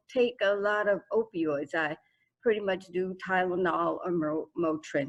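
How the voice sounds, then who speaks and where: In an American accent, a woman talks at a medium pitch. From Florida. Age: 60s. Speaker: sickle cell patient advocate. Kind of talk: panel discussion.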